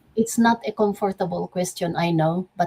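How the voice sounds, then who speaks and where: A woman's somewhat breathy voice at a medium pitch, fairly slow and fairly even in intonation, with a dry, close sound and no echo. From Philippines. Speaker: optics manager and network marketing speaker. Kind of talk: motivational talk.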